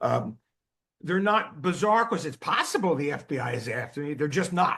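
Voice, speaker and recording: Bright and sharp in tone, a man speaks at a fairly high pitch and a moderate pace. His pitch swings very widely. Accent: New Jersey. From New Jersey. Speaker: psychiatrist, drug developer. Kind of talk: expert interview explanation.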